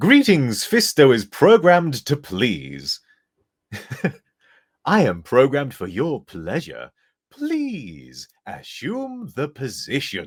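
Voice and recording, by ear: Using a robotic, put-on character voice, a man speaks at a fairly high pitch and a very slow pace on a very clean recording with a silent background.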